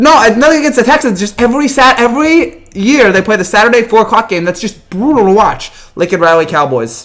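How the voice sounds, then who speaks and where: A man's very fast speech with very wide pitch swings over noticeable background noise. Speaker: sports commentator. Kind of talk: live stream Q&A. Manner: hesitant, many fillers.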